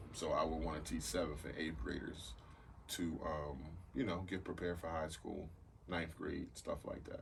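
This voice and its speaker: Vocal fry colors a man's very deep, low voice in an American accent. He keeps a moderate pace with ordinary pitch variation, and the room echo is audible. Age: 40s. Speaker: podcast host. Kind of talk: casual chat.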